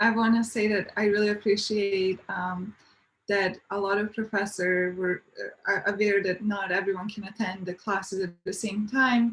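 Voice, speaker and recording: Her intonation fairly even, a woman speaks with a non-native accent. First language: not English. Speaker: university student panelist. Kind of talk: panel discussion.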